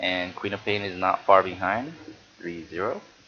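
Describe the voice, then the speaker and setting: A man with a fairly low voice speaks at a moderate pace against noticeable background noise. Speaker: amateur game commentator. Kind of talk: game replay commentary. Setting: home recording while streaming. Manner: projecting louder than usual.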